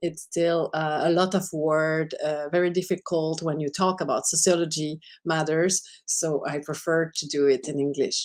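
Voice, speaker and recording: A woman with a Quebec accent, fairly low pitch, moderate pace and flat, monotone intonation. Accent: Québécois French accent in English. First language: French. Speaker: sociologist. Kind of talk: lecture. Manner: halting.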